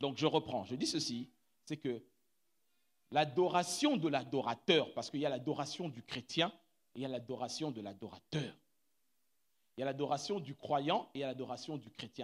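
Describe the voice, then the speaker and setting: A man's loudness swings widely as he speaks with long, frequent pauses. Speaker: pastor. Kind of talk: sermon. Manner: animated.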